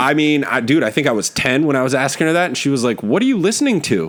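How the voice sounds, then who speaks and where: With an American accent, a man talks at a fairly quick pace. He has a plain, everyday voice and lively intonation. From northern California, Oakland area. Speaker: podcast host, comedian. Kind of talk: casual chat.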